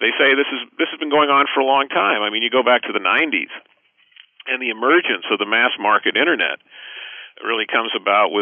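A man's medium-pitched voice, fairly quick and with lively intonation. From US West Coast, Los Angeles. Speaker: economics professor. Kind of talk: interview. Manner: halting, many fillers and repeats.

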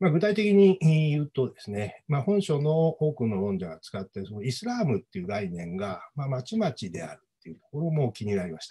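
A man talks at a fairly quick pace with hardly any pauses, over a quiet background. His dark, mellow, somewhat breathy voice makes very wide pitch swings and big swings in loudness. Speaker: history professor. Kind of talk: academic panel commentary. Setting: video call. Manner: many filler words. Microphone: video call.

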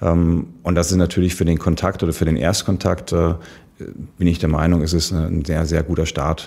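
A man's very deep, low voice, dark and mellow in tone, monotone and flat in intonation, with very even loudness at a moderate pace. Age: 30s. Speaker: ice hockey club managing director, former pro player. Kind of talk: interview. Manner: hesitant, many fillers and repetitions.

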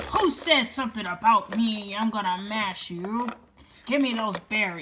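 Putting on a growling character voice, a woman talks at a moderate pace with fairly high pitch. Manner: growling, angry.

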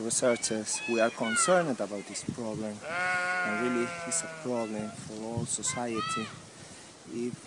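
Noticeable background noise runs behind a man talking at a moderate pace. His pitch varies in an ordinary way, and the sound is dry with no echo. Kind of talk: interview answer. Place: forest. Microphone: phone near.

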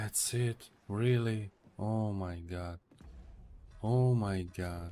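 A man talks at a very slow pace with a fairly low pitch. His tone is dark and mellow, and his pitch varies in an ordinary way.

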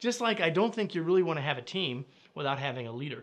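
Lively intonation from a man. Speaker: leadership trainer. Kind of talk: direct-to-camera educational talk. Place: studio.

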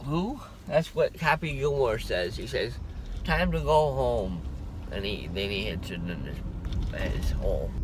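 A man speaks at a fairly slow pace, with long, frequent pauses. The sound is dry with no echo, but background noise is noticeable. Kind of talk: casual vlog chat. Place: car.

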